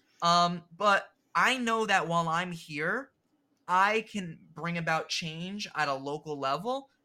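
In a very clean recording with a silent background, a man with a New Jersey accent speaks very slowly in a bright, sharp tone at a high pitch with ordinary pitch variation. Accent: New Jersey American. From New Jersey, US. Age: 20s. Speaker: public school teacher. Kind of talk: casual chat.

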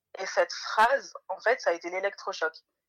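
A woman talks at a fairly high pitch. The sound is dry and close, with no echo. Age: 20s. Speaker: mother sharing homemade beauty products. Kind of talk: casual interview.

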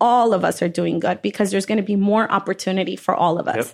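A woman speaks at a very fast pace with a medium pitch and vocal fry. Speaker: restaurant owner. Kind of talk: interview.

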